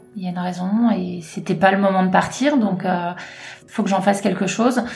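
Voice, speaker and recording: Moderate speed and fairly even intonation amid noticeable background noise and audible room echo. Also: woman. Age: 30s. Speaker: cancer survivor, retail worker. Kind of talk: testimony.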